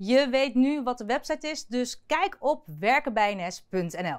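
Speaking at a very slow pace against a quiet background, a woman uses a high pitch and lively intonation. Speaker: news presenter. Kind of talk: news presentation. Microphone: lapel.

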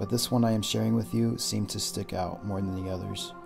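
A man speaks at a fairly quick pace with music playing in the background. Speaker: paranormal investigator narrator. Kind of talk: documentary narration.

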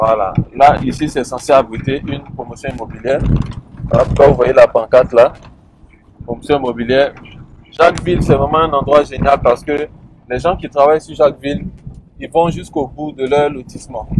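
Pausing long and often, a man speaks with fairly even intonation, the sound dry with no echo and noticeable background noise behind him. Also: moderate pace. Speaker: land plot tour guide. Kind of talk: casual commentary. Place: car. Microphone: phone near.

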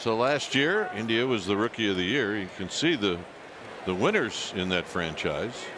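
A man's intonation is lively, and noticeable background noise can be heard beneath him. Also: medium pitch for a man, moderate pace. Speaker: baseball play-by-play announcer. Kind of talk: live sports commentary, TV play-by-play. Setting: TV broadcast from ballpark. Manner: brisk, conversational, scene-setting.

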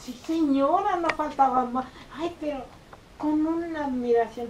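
Speaking at a very slow pace, a woman's pitch swings very widely. Audible room echo and light background noise surround her. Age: 80s+. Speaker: interviewee. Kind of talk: interview answer. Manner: storytelling. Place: office. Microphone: camera far.

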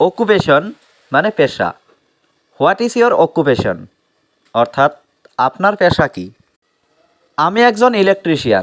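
The man's high-pitched voice makes very wide pitch swings, captured in a dry, close sound with no echo. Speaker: English teacher. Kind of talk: tutorial.

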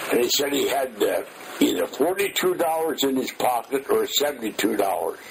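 There is noticeable noise in the background. The loudness stays very even throughout. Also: man, moderate pace. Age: 80s+. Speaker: war veteran. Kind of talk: oral history interview. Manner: halting.

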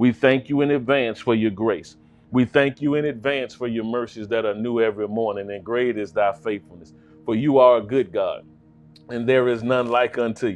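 Faint music plays behind a man talking at a moderate pace with ordinary pitch variation. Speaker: pastor. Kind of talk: prayer then sermon opening. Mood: fervent, prayerful. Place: studio.

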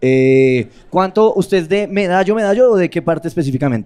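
Against a quiet background, a man speaks at a moderate pace in a dark, mellow tone with very wide pitch swings. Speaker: roast master of ceremonies. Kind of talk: host banter, introductions. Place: stage. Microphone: handheld.

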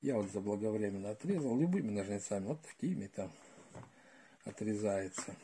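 Against light background noise, a man with a fairly low, dark, mellow voice and ordinary pitch variation speaks at a moderate pace, leaving long, frequent pauses. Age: old. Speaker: retired gardener, video blogger; video blogger. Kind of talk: tutorial. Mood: calm, practical. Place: home room. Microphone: phone near.

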